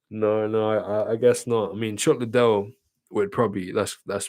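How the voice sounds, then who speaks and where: Talking at a fairly quick pace, a man has a British accent. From Britain. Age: 20s. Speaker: streamer. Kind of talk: casual chat. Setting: livestream.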